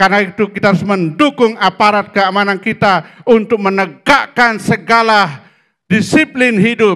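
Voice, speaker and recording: A man's raised, projected voice, high in pitch with a bright, sharp tone, at a moderate pace with very even loudness and ordinary pitch variation. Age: 60s. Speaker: pastor. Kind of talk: sermon. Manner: animated.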